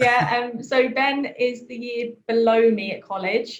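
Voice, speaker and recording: A somewhat breathy woman's voice in a southern English accent. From southern England, Worthing. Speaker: trainee vicar. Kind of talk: casual interview.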